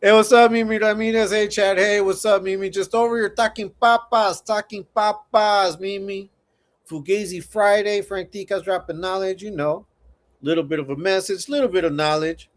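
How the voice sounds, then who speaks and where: The recording is very clean with a silent background. A man with a high voice and an American accent speaks at a moderate pace with ordinary pitch variation. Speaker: livestream host. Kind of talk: casual livestream chat. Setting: livestream. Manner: casual, repetitive.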